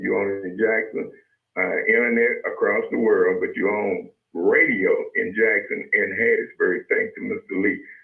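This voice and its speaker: A man with a Mississippi accent at a moderate pace. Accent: US Southern, Mississippi. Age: 60s. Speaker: radio host. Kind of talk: radio talk show.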